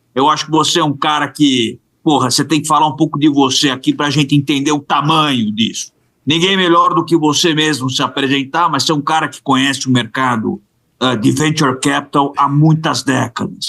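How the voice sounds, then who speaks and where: Bright and sharp in tone, a man speaks at a moderate pace with fairly even intonation and a fairly high pitch. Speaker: podcast co-host, investor. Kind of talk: casual interview chat.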